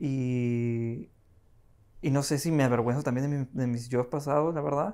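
Speaking at a fairly slow pace with long, frequent pauses, a man with a fairly high pitch is heard over a quiet background. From Peru. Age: 20s. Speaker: assistant director, film school graduate; podcast guest. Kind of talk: casual chat. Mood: relaxed, reflective. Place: home room. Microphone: lapel.

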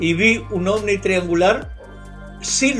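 Very slowly, a man with a Chilean accent talks in a high pitch while faint music plays in the background. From Concepción, Chile. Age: 80s+. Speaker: UFO researcher, retired police officer; interviewee. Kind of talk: interview answer. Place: home room. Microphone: webcam.

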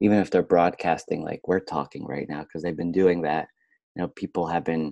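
Fairly even intonation comes through against a quiet background, with a dry sound and no echo. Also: man. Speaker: podcast guest. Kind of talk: interview answer. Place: home room. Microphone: earbuds.

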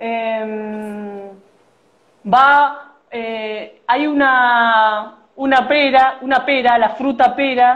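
At a very slow pace, this woman talks with ordinary pitch variation. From Argentina, Buenos Aires city. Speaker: origami artist. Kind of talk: origami tutorial. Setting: Instagram live video.

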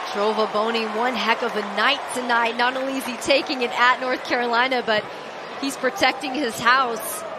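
Amid noticeable background noise, a woman with a high pitch talks at a moderate pace with fairly even intonation. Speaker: color commentator. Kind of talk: live sports commentary.

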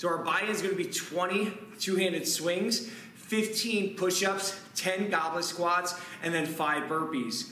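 A raised, projected voice at a fairly slow pace, with ordinary pitch variation, audible room echo and light background noise. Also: man. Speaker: fitness coach. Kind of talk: workout instruction. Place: gym.

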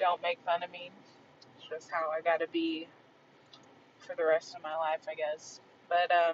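With light background noise behind her, a woman speaks at a moderate pace and a fairly low pitch, her intonation monotone and flat. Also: dry sound with no echo. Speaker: vlogger. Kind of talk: casual vlog chat. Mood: relaxed, amused. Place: car. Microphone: phone near.

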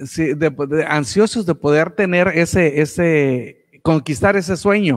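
A man talks at a fairly slow pace with ordinary pitch variation, against a quiet background. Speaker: radio announcer. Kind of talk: live online radio show hosting. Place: studio. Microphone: studio mic.

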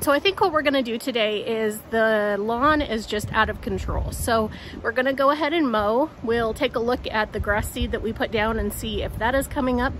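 A woman talking with hardly any pauses and ordinary pitch variation, dry sound with no echo, light background noise. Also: moderate pace. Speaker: homestead vlogger. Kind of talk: casual vlog chat. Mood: cheerful, relaxed. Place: open country. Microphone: phone near.

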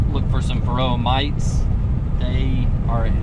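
A man at a fairly slow pace amid loud background noise, in a dry sound with no echo. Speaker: beekeeping vlogger. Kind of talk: casual vlog chat. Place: car. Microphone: phone near.

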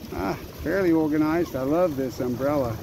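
A man at a moderate pace with ordinary pitch variation, dry sound with no echo, and noticeable background noise. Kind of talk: casual vlog chat. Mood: happy, relaxed. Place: boat.

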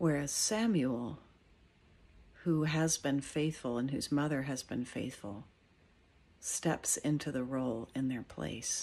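Speaking very slowly with long, frequent pauses, a woman with a very deep, low voice has a warm, dark, mellow tone and ordinary pitch variation. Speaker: cathedral dean giving a morning devotional. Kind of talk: fervent spoken prayer, earnest and pleading, addressed to God. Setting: outdoors at a friend's house in the morning. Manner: earnest, warm and heartfelt, unhurried; pastoral, reflective, conversational in the reflection. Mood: calm, gentle, reflective. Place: home room. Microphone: phone near.

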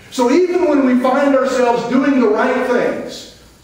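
With strong room echo, a man speaks at a moderate pace in an extremely high pitch. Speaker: missionary preacher, retired army veteran. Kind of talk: sermon. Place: church.

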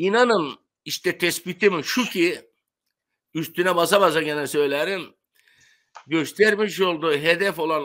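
A man's bright, sharp tone at a fairly slow pace, with ordinary pitch variation and a quiet background. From Turkey, Aegean coast (Bodrum); Turkey. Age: 70s. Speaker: retired sponge diver; interview guest. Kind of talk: interview. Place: home room.

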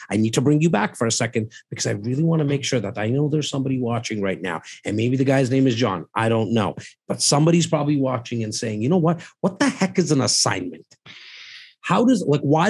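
Against a quiet background, a man talks fairly quickly at medium pitch, somewhat breathy, with very wide pitch swings. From Canada. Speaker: real estate investment advisor. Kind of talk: casual chat. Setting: livestream with viewer comments. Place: studio. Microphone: studio mic.

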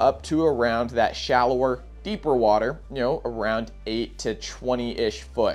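At a fairly slow pace, a man speaks while faint music plays in the background. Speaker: presenter. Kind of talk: tutorial. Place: shop. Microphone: lapel.

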